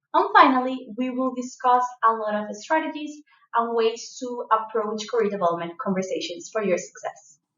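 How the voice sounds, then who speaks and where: Speaking with a strong non-native accent, a woman talks at a moderate pace. Her voice is high and her pitch varies in an ordinary way. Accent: strong foreign. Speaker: leadership coach. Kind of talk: online course lecture. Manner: animated.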